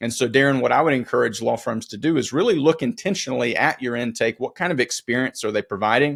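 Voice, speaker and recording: Medium in pitch, this man talks at a very fast pace with vocal fry and ordinary pitch variation. The sound is dry and close, with no echo. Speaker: legal marketing strategist. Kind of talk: podcast interview. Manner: halting, frequent repetitions.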